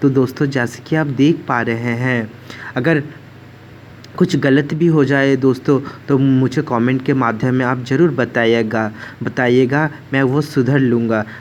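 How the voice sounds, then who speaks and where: Noticeable background noise sits behind a man's voice. He talks at a medium pitch with fairly even intonation. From West Bengal, India. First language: Bengali (speaking Hindi). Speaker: devotional vlogger. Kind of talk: home worship tutorial vlog.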